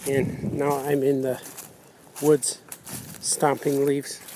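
Fairly slow pace, dry sound with no echo, and noticeable background noise. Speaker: cartoonist vlog host. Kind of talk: casual vlog chat.

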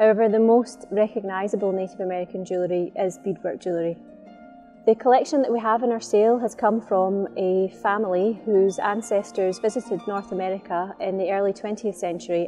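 A woman talks at a fairly quick pace with ordinary pitch variation. Faint music plays in the background. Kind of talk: corporate presentation to camera about auction items. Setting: promotional video. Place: studio.

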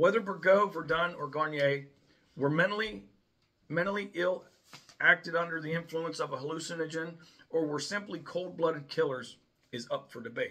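At a moderate pace and with ordinary pitch variation, a man talks with long, frequent pauses. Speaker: video host. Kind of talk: scripted informational narration. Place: home room. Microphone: phone near.

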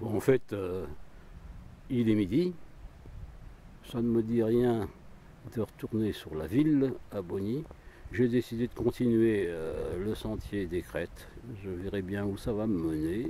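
Over light background noise, the voice moves at a very slow pace with long, frequent pauses and a dry sound with no echo. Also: man, fairly low pitch for a man. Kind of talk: casual vlog narration. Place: forest. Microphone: phone near.

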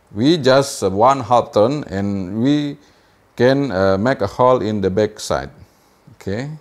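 Delivered at a fairly slow pace with a non-native accent, the speech shows ordinary pitch variation. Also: man. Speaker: amateur radio hobbyist. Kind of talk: tutorial. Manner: halting. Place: workshop. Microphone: lapel.

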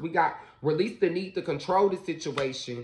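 Over light background noise, a man talks in a high pitch. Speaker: tarot reader. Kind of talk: casual tarot reading talk to viewers. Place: home room. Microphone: phone near.

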